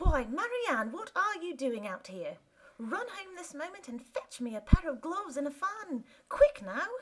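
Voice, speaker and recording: A woman puts on a character voice at an extremely high pitch. Her pitch swings very widely at a moderate pace. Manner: angry, commanding.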